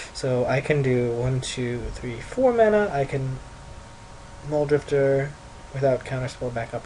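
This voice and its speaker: A man of medium pitch speaks at a moderate pace with ordinary pitch variation. His loudness swings widely over noticeable background noise. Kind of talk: gameplay commentary. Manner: casual, thinking aloud.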